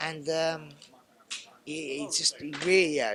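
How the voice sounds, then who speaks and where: The speaker has a London accent and a fairly slow pace. Noticeable background noise sits behind the voice. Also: man. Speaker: mixed martial arts fighter. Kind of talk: media interview. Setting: fight media day. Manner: halting, many restarts.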